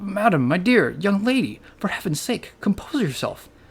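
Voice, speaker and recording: Someone shouts in a put-on character voice with a middle pitch. The delivery is shaky and moves at a moderate pace. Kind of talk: formal, old-fashioned. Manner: trembling, near-screaming.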